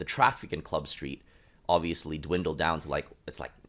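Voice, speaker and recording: The recording is very clean with a silent background, and the tone is animated. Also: man. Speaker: podcast guest. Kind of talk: casual chat.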